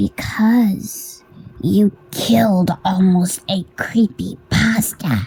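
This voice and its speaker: Using a put-on character voice at a medium pitch, a woman speaks at a very slow pace. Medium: read story. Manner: calm, somber.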